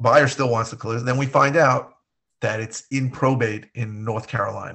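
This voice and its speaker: A man with an American accent speaks at medium pitch and a moderate pace in a plain, everyday voice, his intonation fairly even. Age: 50s. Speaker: real estate investor and podcast co-host. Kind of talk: casual chat.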